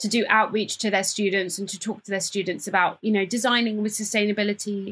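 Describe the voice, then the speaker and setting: This woman speaks with a British accent at a fairly quick pace. Her pitch sits fairly high. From England, Cambridge, of Ghanaian parents. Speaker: fashion entrepreneur and sustainability campaigner. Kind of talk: interview conversation.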